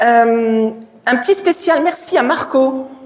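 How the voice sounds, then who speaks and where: Her pitch is high and her intonation lively. The woman is heard over noticeable background noise. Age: 50s. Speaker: profiler and speaker. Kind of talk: conference talk. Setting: stage with audience. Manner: loud.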